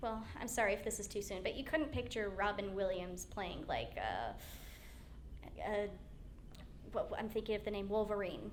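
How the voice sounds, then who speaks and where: A woman speaks at a moderate pace with long, frequent pauses, her medium pitch and fairly even intonation set against noticeable background noise and audible room echo. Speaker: voice actor. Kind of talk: convention panel Q&A.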